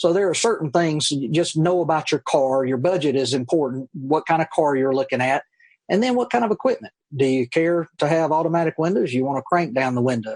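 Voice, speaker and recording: Lively intonation and very even loudness come at a fairly quick pace in an American accent over a quiet background. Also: man, fairly high pitch for a man. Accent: Mississippi southern with Cajun touch. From US South, Tylertown, Mississippi. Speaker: car dealership finance manager. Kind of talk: interview. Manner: fairly fast.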